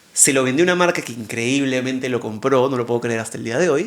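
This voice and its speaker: Words tumble out of a man very fast. Pitch rises and falls in an ordinary way. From Peru. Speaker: TV presenter and interviewer, content creator. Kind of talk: casual interview chat.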